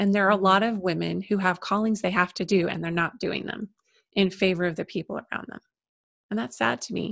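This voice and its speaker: An ordinary speaking voice, a woman at medium pitch, with a fairly quick pace, ordinary pitch variation and a dry, close sound with no echo. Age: 50s. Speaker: spiritual psychologist and women's coach. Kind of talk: casual interview chat.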